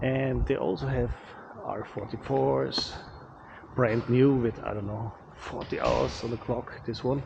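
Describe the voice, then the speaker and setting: A man with a non-native accent and a medium-pitched voice swinging very widely in pitch, at a fairly slow pace, against noticeable background noise. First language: not English. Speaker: pilot and aerial cinematographer. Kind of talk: casual vlog talk.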